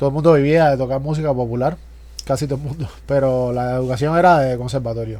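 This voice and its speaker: A man's very fast speech in a Cuban accent, medium in pitch with a dark, mellow tone, fairly even intonation and audible room echo. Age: 40s. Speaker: drummer, music producer and university teacher. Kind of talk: casual interview.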